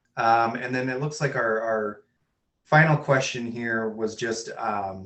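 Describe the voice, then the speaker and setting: A man with a Minnesotan accent, medium pitch, moderate pace and fairly even intonation. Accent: Minnesota. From US Midwest, Minnesota. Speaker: webinar host, sales and marketing. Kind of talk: webinar Q&A moderation.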